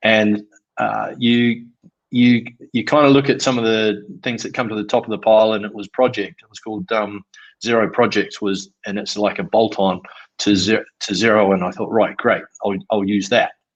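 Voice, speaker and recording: Speaking in a New Zealand accent at a moderate pace, a man with a fairly low voice keeps his intonation fairly even while his loudness swings a lot over a quiet background. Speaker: construction trades business owner. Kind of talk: interview answer.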